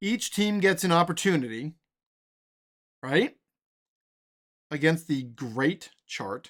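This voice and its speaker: Loud and high-pitched, a man talks at a very slow pace with lively intonation. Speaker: tabletop sports game streamer. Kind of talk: tabletop game play-by-play. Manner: casual thinking aloud.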